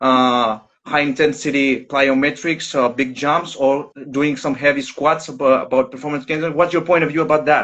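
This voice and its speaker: A man speaks with a Greek accent. His pitch is fairly high and his intonation fairly even. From Greece. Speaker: soccer strength and conditioning coach. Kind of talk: live stream question. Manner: halting.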